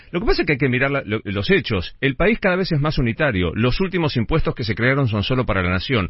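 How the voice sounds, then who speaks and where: Talking at a very fast pace, a man with a medium pitch and a somewhat breathy voice makes very wide pitch swings. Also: hardly any pauses. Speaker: radio host, journalist. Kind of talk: radio interview.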